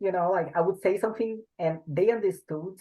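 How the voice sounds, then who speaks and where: A woman speaks with a strong Portuguese accent and ordinary pitch variation. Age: 20s. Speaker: bodybuilder. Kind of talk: interview.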